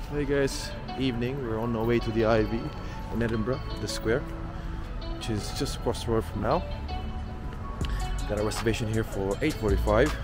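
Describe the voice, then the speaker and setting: Clear music plays in the background as a man speaks at a moderate pace. He leaves long, frequent pauses, and the sound is dry with no echo. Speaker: travel vlogger. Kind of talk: casual vlog chat. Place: street. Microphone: phone near.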